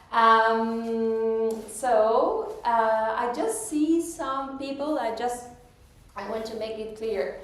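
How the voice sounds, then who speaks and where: A woman's fairly high voice with an Argentine accent, ordinary pitch variation, a very slow pace and audible room echo. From Argentina, Pigue, Buenos Aires province. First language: Spanish. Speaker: metaphysics teacher and speaker. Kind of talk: public talk. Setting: hall with live audience.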